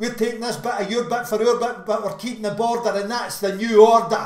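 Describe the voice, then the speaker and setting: With a Glaswegian accent, a man speaks at an extremely high pitch in monotone, flat intonation, with audible room echo. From Glasgow, Scotland. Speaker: slam poet. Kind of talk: slam poetry performance. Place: home room. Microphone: webcam.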